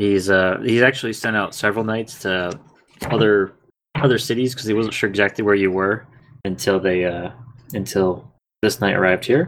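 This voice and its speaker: This man has an ordinary speaking voice with a fairly low pitch. He speaks at a moderate pace with ordinary pitch variation. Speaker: podcast host and dungeon master. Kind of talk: tabletop role-play game narration.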